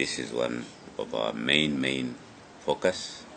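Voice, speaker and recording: A man speaks with ordinary pitch variation. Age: 70s. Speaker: politician, party chairman and presidential candidate. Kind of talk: interview statement. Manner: halting, many fillers.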